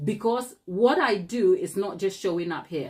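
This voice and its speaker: A woman speaks with a Ghanaian accent. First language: Ghanaian language (not English). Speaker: cake decorator and YouTuber. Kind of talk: live tutorial chat. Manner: animated.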